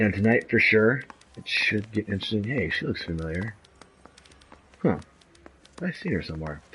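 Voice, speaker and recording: The man talks at a moderate pace with long, frequent pauses. Background noise is noticeable. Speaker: gaming video creator. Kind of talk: gameplay commentary. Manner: casual, halting.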